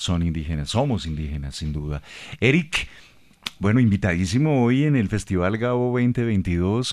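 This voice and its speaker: Against a quiet background, a man speaks at a moderate pace. His fairly low pitch moves in very wide swings. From Bogotá, Colombia. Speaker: radio host. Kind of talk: radio interview. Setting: radio studio. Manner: formal.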